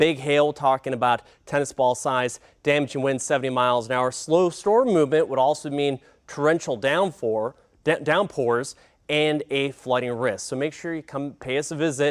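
Over a quiet background, a man speaks in a fairly high pitch. His tone is animated. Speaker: TV meteorologist. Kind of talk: weather report, broadcast forecast. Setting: TV studio broadcast. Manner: brisk, clipped; urgent, animated. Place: studio. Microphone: lapel.

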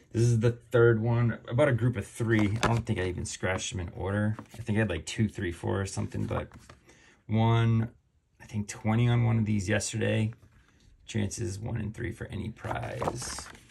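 Over noticeable background noise, a somewhat breathy man speaks at a moderate pace and fairly low pitch with fairly even intonation. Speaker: lottery scratch-ticket video host. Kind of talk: casual chat while scratching lottery tickets. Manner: chatty, frequent filler words. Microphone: phone near.

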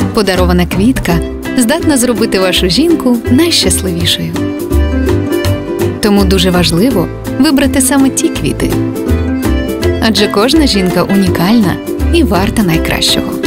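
Over loud music in the background, a woman speaks at a moderate pace with long, frequent pauses, the sound dry with no echo. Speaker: voice-over actor. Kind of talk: TV commercial read.

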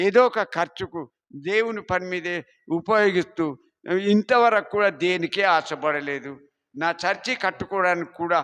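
A man speaks at a high pitch with ordinary pitch variation. The background is quiet. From East Godavari agency area, Andhra Pradesh, India. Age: 70s. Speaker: church founder. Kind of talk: testimony. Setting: church.

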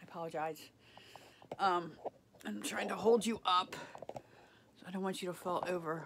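A woman with a fairly low pitch, ordinary pitch variation and a moderate pace, against noticeable background noise. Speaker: home vlogger. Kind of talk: casual vlog chat. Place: home room. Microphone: phone near.

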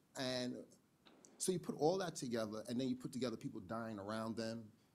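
Lively in intonation, a man speaks at a fairly quick pace. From New York. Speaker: community violence prevention worker; panelist. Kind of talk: panel discussion. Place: hall. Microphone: podium.

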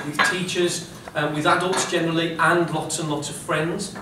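With audible room echo and noticeable background noise, a man talks at a moderate pace in fairly even intonation. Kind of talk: talk to children. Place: classroom. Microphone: camera far.

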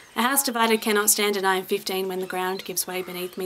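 With noticeable background noise behind it, the voice has an Australian accent and a monotone, flat intonation. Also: woman. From South Australia. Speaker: spoken word poet. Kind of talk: poetry reading. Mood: solemn, emotional.

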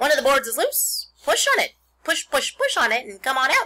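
This put-on character voice is high-pitched and moves at a fairly quick pace. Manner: fast talking.

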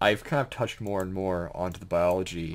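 A man speaks at a moderate pace in a very deep, low voice. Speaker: gaming video creator and aspiring author. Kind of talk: casual gameplay commentary. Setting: home recording with keyboard and fish tank noise. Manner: rambling, stammering, excited. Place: home room.

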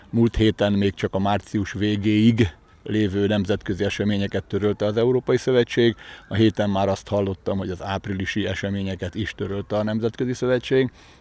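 A man speaks at a fairly low pitch in a dark, mellow tone. His intonation is monotone and flat, and the sound is dry with no echo. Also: fairly quick pace. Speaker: badminton coach. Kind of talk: interview. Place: open country. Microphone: handheld.

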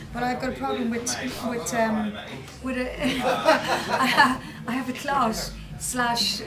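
Loud background noise surrounds a woman's speech. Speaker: interviewee. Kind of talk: interview answer. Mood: relaxed, laughing. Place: home room.

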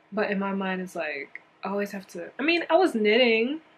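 Noticeable background noise runs behind the speaker. She is a woman with a medium-pitched voice. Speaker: knitting vlogger. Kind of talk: casual vlog talk.

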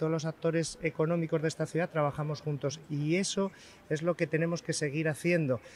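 A man with a fairly high pitch uses a normal speaking voice at a moderate pace, the sound dry with no echo and light background noise. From Spain. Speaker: chef. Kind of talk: live TV interview. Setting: outdoors. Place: street. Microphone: handheld.

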